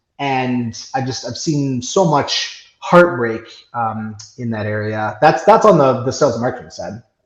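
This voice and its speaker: Audible room echo surrounds a man speaking at a medium pitch with lively intonation and big swings in loudness. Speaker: software company CEO and business coach. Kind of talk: podcast interview. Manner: fast.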